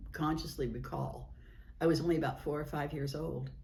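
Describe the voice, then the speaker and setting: A woman speaks at a moderate pace with an American accent. Room echo is audible in the recording. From California. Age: 80s+. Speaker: oral history interviewee, author. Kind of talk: oral history interview. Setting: historical society building. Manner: animated.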